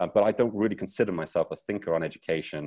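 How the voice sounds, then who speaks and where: In a British accent, a man talks with a dry, close sound, no echo and a quiet background. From Britain. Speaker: teacher. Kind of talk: keynote talk. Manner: energetic, playful.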